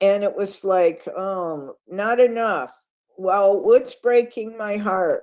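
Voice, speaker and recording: A very slow pace with ordinary pitch variation, in an American accent. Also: woman. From upstate New York. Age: 70s. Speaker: guest speaker. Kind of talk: sermon-style talk.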